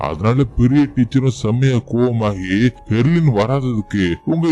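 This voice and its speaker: Music plays in the background as a man speaks. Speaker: movie explainer. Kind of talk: movie recap narration. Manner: casual, conversational.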